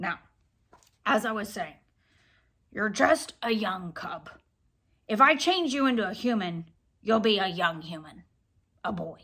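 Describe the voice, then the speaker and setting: A woman puts on a gruff, raspy character voice at a medium pitch. She moves at a moderate pace with long, frequent pauses. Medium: read story. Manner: know-it-all, lecturing; gruff, easily irritated.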